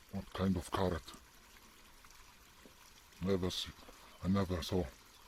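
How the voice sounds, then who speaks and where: A man with a non-native accent, very deep and low in pitch, at a moderate pace. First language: Polish. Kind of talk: casual nature vlog narration.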